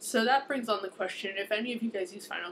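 Over light background noise, a woman speaks with fairly even intonation. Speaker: book vlogger. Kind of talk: casual vlog chat. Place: home room. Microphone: webcam.

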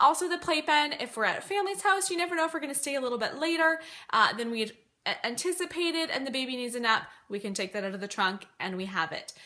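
A woman speaks at a very fast pace. Her pitch swings very widely. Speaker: mom vlogger. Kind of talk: casual vlog chat. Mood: friendly, chatty. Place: home room. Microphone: phone near.

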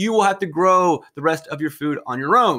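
A man speaks at a high pitch with a bright, sharp tone. His pace is fairly quick, his intonation lively, and the background quiet. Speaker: history teacher. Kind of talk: lecture. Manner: conversational. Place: home room. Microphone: webcam.

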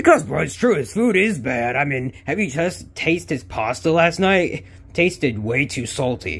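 Put-on character voice from a man, pitched fairly high and moving at a moderate pace. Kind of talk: comic overacting. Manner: brash, mocking, casual slang.

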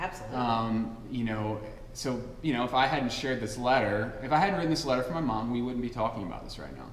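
A man talks at a very fast pace with ordinary pitch variation. Audible room echo and light background noise are present. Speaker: radio interview guest. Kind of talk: interview answer. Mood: earnest, emotional personal story.

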